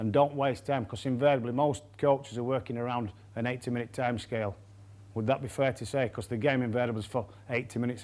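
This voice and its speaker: A man with a Yorkshire accent, talking at a very fast pace. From Yorkshire, England. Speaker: rugby coach. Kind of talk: coaching lecture.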